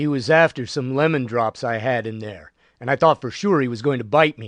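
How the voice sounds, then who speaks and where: Using a put-on character voice, a man of medium pitch talks at a fairly quick pace. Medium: read story.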